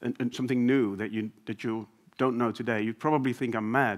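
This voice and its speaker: A man speaks with a Dutch accent at a medium pitch. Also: very clean recording, silent background. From Netherlands, Amsterdam. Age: 40s. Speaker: business executive. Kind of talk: conference talk. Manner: hesitant, many fillers.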